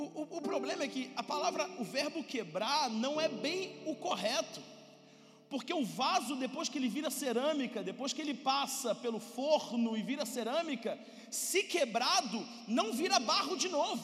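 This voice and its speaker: A man talks in an animated tone at a moderate pace, his pitch extremely high. Noticeable background noise sits behind him. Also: lively intonation. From Brazil. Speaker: pastor. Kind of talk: sermon.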